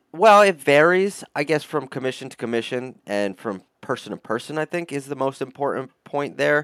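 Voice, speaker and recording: A man's normal speaking voice with an American accent, fairly high in pitch, lively in intonation and with big swings in loudness, at a moderate pace with hardly any pauses, in a very clean recording with a silent background and a dry, close sound with no echo. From upstate New York. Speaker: metal artist. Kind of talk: interview.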